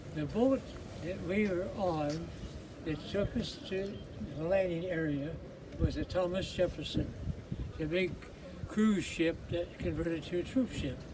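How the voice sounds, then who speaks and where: A man with an American accent speaks at a fairly slow pace in a high voice with ordinary pitch variation. Long, frequent pauses break up his speech amid noticeable background noise. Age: 80s+. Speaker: war veteran. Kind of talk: veteran recounting memories to a tour group. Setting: outdoors.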